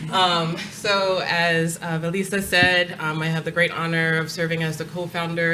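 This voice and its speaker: A woman with a Long Island accent speaks in a monotone, flat intonation at a fairly low pitch, with audible room echo and noticeable background noise. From New York, Long Island. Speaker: nonprofit executive director. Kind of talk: panel discussion. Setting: stage with audience.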